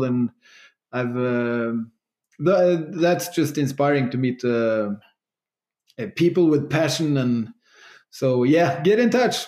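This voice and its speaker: With a dark, mellow tone, a man of medium pitch speaks at a fairly slow pace with ordinary pitch variation. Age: 40s. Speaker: entrepreneur. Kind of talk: interview.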